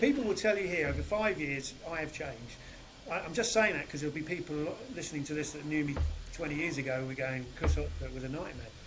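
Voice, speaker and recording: Amid noticeable background noise and audible room echo, a man with a fairly high pitch speaks at a very fast pace with ordinary pitch variation. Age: 60s. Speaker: sales director. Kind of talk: casual interview chat.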